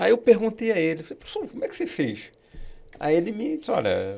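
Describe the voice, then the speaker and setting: Very wide swings in pitch mark the way this man talks. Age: 60s. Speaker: accounting professor and auditor. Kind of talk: podcast interview.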